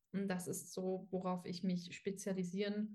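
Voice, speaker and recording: A woman with a medium pitch and a somewhat breathy voice speaks at a fairly slow pace. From Dresden, Saxony. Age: 20s. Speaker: dog trainer, former dog walker. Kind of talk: casual interview. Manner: hesitant, many fillers.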